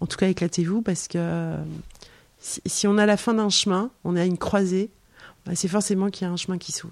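Very clean recording with a silent background of a woman, fairly low in pitch, at a moderate pace with fairly even intonation. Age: 50s. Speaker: author. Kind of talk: casual chat. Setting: in her home.

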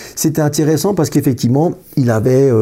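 With a dark, mellow tone, a man talks at a moderate pace with ordinary pitch variation. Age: 50s. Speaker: accountant. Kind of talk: interview. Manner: halting, many repetitions.

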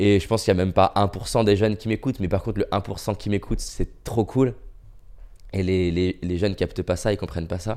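Recorded very cleanly against a silent background, a man with a fairly low pitch and a dark, mellow tone speaks at a moderate pace with ordinary pitch variation. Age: 30s. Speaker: motivational speaker. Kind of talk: casual chat. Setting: recorded during lockdown.

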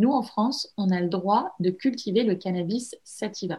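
A woman with a medium-pitched, somewhat breathy voice talks at a very slow pace. Her pitch varies in an ordinary way. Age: 20s. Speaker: entrepreneur, cosmetics brand founder. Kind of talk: interview. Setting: remote call.

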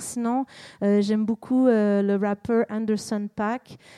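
Dark, mellow tone with fairly even intonation in a Quebec accent, dry and close with no echo. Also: woman. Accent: Québécois French. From Quebec, Montreal. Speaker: singer-songwriter. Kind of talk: public interview.

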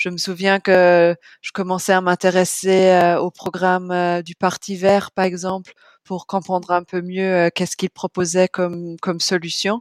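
The delivery is fairly slow and monotone, with flat intonation. The recording is very clean with a silent background, and the sound is dry and close with no echo. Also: woman, medium pitch for a woman. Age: 30s. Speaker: bank sustainability manager. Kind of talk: interview. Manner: halting, many fillers.

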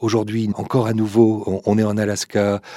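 At a fairly quick pace, a man speaks with a fairly low pitch. His tone is dark and mellow, with fairly even intonation.

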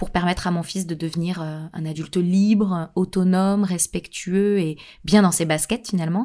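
A woman of medium pitch speaks fairly slowly in a very clean recording with a silent background. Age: 30s. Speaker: podcast host. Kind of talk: podcast monologue. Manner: hesitant.

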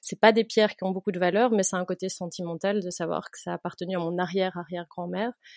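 Very fast and with hardly any pauses, a woman talks in a dry, close sound with no echo. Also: medium pitch for a woman. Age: 30s. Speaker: teacher and patient-association volunteer. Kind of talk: interview. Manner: halting.

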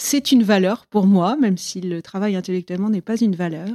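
Dry and close with no echo, a woman's dark, mellow voice sits at a medium pitch, moving at a moderate pace with ordinary pitch variation. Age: 40s. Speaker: interviewee telling her love story. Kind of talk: personal testimony interview. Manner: hesitant, many fillers.

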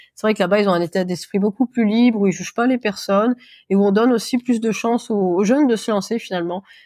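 Talking at a very fast pace, a woman with a fairly high pitch, a dark, mellow tone and fairly even intonation is heard in a dry, close sound with no echo, on a very clean recording with a silent background. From France, Auvergne. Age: 30s. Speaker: video creator for businesses. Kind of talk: casual interview chat.

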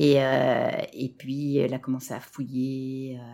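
The recording is very clean and the background silent. Her voice is a woman's, pitched very deep and low. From France. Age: 40s. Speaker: separated parent and stepmother. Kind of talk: interview testimony. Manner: halting, many fillers.

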